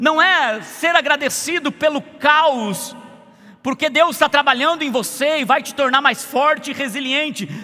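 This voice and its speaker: Amid noticeable background noise, a man with an extremely high pitch uses a raised, projected voice at a fairly slow pace with ordinary pitch variation. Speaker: pastor. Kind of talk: sermon. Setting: church service.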